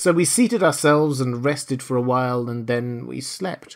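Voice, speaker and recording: At a moderate pace and a medium pitch, with ordinary variation in that pitch, the man talks in an unremarkable speaking voice. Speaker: audiobook narrator. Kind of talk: dramatic audiobook narration. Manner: gripping, theatrical storytelling with suspenseful pacing; formal.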